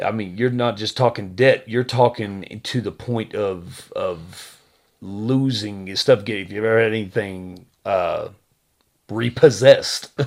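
On a very clean recording with a silent background, a man with an American accent uses a normal speaking voice, ordinary pitch variation and a fairly slow pace. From Texas. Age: 30s. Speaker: podcast co-host. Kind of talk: casual chat.

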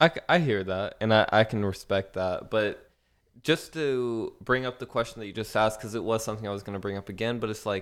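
A normal speaking voice moves at a moderate pace with ordinary pitch variation, on a very clean recording with a silent background. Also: man. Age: 20s. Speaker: young entrepreneur, podcast guest. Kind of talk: casual chat.

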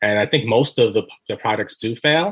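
A man talks at a moderate pace. He has an American accent. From Brooklyn, New York. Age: 40s. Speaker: writer and anthology editor. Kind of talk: casual interview.

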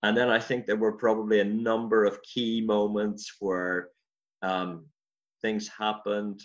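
Against a quiet background, a man with a Northern Irish accent talks at a fairly slow pace with a fairly low pitch and monotone, flat intonation. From Northern Ireland, County Armagh. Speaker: pastor. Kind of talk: interview.

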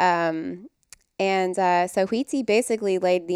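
In a very clean recording with a silent background, a woman talks at a fairly slow pace, her medium pitch showing ordinary variation. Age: 30s. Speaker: wellness guest, mother. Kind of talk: casual interview chat. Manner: soft-spoken.

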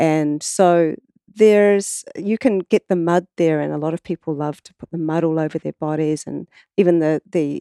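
With a strong New Zealand accent, a woman talks at a moderate pace in a fairly low, dark and mellow voice, with ordinary pitch variation, big swings in loudness and a dry, close sound with no echo. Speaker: water researcher and artist. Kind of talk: casual interview conversation. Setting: in person studio.

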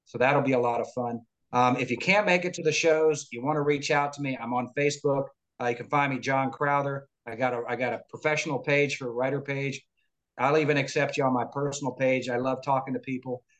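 This is an ordinary speaking voice with an American accent. It moves at a fairly quick pace with fairly even intonation. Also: man, fairly high pitch for a man. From Florida, US. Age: 50s. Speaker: lawyer and wrestling biographer. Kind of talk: interview.

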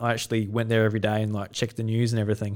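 This man has a medium-pitched voice and an Australian accent. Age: 20s. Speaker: podcast host. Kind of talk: casual chat.

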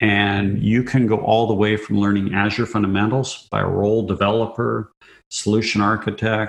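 A man's fairly low pitch with monotone, flat intonation. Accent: Canadian Prairies. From Canada, southern Saskatchewan. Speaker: tech executive. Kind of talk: interview.

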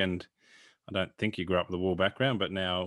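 Speaking very fast with an Australian accent, a man with a fairly low pitch is heard over a quiet background. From Australia, northwest Victoria. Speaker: sheep genetics consultant and podcast host. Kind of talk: casual interview conversation.

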